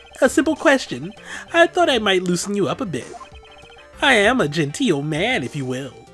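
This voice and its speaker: A put-on character voice at middle pitch and moderate pace, with very wide pitch swings over clear music in the background. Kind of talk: genteel. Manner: slow, drawn out.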